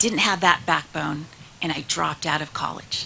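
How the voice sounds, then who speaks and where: Over noticeable background noise, a woman with a fairly low pitch speaks at a moderate pace with ordinary pitch variation. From California, US, partly raised in Mexico. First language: Spanish. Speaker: state senator. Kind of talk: speech. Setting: stage with audience.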